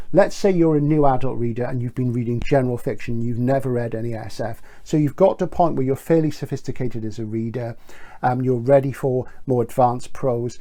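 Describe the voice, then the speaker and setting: In a British accent, a man speaks fairly quickly with a dark, mellow tone, medium pitch and ordinary pitch variation. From Britain. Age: 60s. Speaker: bookseller. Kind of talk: book recommendation video.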